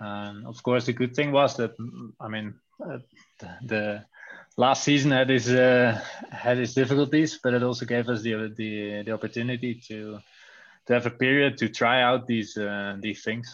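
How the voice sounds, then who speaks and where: Medium-pitched man with a Dutch accent, fairly even intonation, and big swings in loudness against a quiet background. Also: moderate pace. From Netherlands. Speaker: cycling team coach and sports scientist. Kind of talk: interview. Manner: halting, many hesitations.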